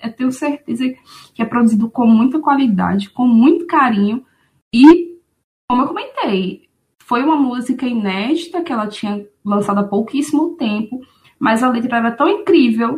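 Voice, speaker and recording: Her high pitch carries lively intonation as the woman speaks at a moderate pace. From Aracaju, Sergipe, Brazil. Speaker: music fan guest. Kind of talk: casual conversation podcast. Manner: frequent fillers like né.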